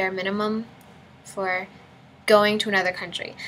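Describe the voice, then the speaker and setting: Soft-spoken and monotone, a woman talks at medium pitch with flat intonation. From United States. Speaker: college student. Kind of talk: casual talk to camera.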